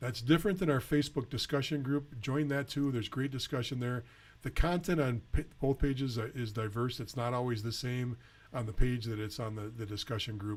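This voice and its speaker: On a very clean recording with a silent background, a man speaks at a fairly quick pace in a somewhat breathy, medium-pitched voice with ordinary pitch variation. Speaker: junior hockey advisor and show host. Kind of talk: live Q&A webcast. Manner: hesitant, many fillers.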